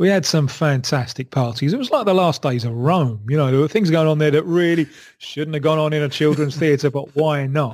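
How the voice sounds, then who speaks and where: With a London accent, a man talks at a fairly quick pace in a fairly high pitch, with ordinary pitch variation and hardly any pauses, on a very clean recording with a silent background. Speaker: football journalist. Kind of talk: interview answer. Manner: engaging.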